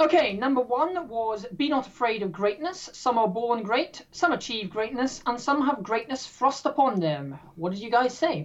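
A woman speaks with an English accent and a high pitch. Her pitch swings very widely. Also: moderate pace, hardly any pauses. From English Midlands. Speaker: quiz host. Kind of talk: hosting a trivia game. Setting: video call.

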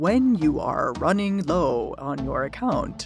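A woman puts on a character voice at a medium pitch and a fairly slow pace. Music plays clearly in the background.

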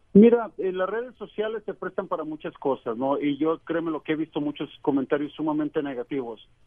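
Here a man has an unremarkable speaking voice with a fairly high pitch. He talks fairly quickly with lively intonation and hardly any pauses. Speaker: reporter. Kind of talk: interview. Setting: phone call.

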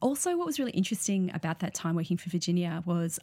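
A somewhat breathy voice in an Australian accent, very fast, with ordinary pitch variation. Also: woman. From Sydney, western suburbs, Australia. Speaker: artist and public art researcher. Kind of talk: interview. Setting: studio. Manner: hesitant, many fillers.

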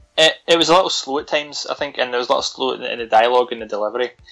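Music plays in the background as a man talks at a very fast pace. His voice is medium in pitch with fairly even intonation. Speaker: podcast host, horror film reviewer. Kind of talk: casual chat, film review. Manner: joking, chatty.

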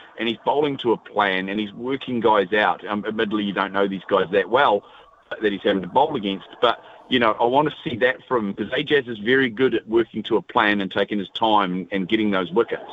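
A man with a New Zealand accent speaks at a fairly low pitch with ordinary pitch variation, over noticeable background noise. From New Zealand, Taranaki. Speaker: radio caller, cricket fan. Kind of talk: casual chat. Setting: phone call.

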